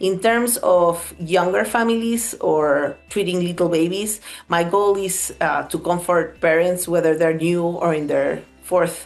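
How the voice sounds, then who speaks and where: A woman with a Spanish accent and fairly low pitch at a fairly slow pace, with audible room echo and music in the background. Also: ordinary pitch variation, hardly any pauses. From Peru. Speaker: pediatric dermatologist. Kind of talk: interview monologue. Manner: conversational, some hesitations.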